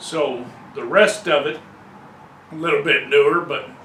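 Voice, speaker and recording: A man speaks at a very slow pace amid audible room echo and noticeable background noise. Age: 60s. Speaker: hobbyist car restorer. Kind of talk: casual DIY video talk. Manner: relaxed with many fillers.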